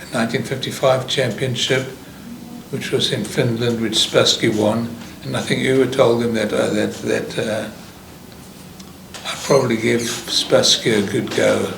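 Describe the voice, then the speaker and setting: Over noticeable background noise, a man speaks in a flat monotone at a fairly slow pace, with long, frequent pauses. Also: medium pitch for a man. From South Africa. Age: 80s+. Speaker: chess player. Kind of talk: interview answer. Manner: hesitant, with many fillers.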